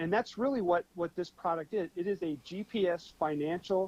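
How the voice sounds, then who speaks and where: The recording is dry and close with no echo as a man talks at a moderate pace in a high voice. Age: 50s. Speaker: financial software promoter. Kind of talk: talk show interview. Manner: casual, with many fillers and repetitions.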